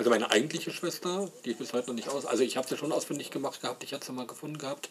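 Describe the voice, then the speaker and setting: There is noticeable background noise behind this man's voice. His pitch varies in an ordinary way. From Saxony, Leipzig. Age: 40s. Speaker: podcaster. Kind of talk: personal monologue. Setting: home. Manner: halting.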